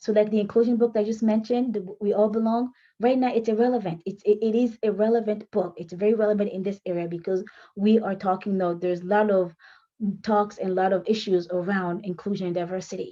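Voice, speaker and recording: Very fast speech from a woman at a medium pitch, with a non-native accent. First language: French. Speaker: author and writing coach. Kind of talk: tutorial. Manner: halting.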